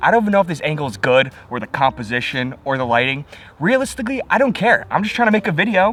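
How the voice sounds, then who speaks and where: A man talks at a very fast pace with very wide pitch swings, and noticeable background noise can be heard. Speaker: YouTuber. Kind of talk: vlog. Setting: outdoors.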